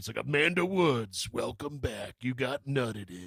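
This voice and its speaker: A man uses a put-on character voice at a medium pitch. He speaks at a moderate pace. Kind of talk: trailer voice. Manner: dramatic, announcer-like.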